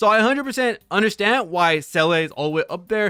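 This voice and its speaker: A man talks at a very fast pace in a raised, projected voice with a bright, sharp tone. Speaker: gaming content creator. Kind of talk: casual commentary video. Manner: casual with fillers.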